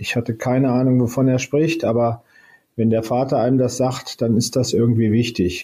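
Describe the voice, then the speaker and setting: A man's somewhat breathy voice has a dark, mellow tone and monotone, flat intonation. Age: 60s. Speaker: space agency head, former university president. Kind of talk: interview. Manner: hesitant, many filler sounds.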